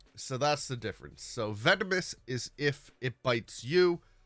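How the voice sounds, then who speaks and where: Over music in the background, a man speaks at a fairly slow pace, his tone animated and his intonation lively. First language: not English. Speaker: gaming streamer. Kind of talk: live gameplay stream chat.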